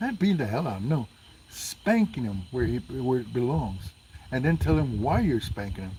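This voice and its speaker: A man with a dark, mellow tone and vocal fry speaks with very wide pitch swings. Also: medium pitch for a man, moderate pace. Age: 60s. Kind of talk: casual chat.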